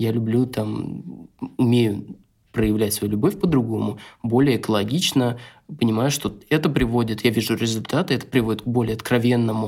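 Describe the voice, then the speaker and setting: The recording is very clean with a silent background. A man has a medium pitch, ordinary pitch variation and a plain, everyday voice. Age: 30s. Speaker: photographer, father of two. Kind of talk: casual chat.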